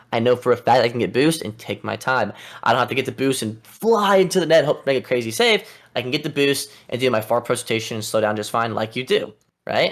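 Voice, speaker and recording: The man's tone is animated, with lively intonation. He talks at a very fast pace. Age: 20s. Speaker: esports coach. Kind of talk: coaching session reviewing gameplay.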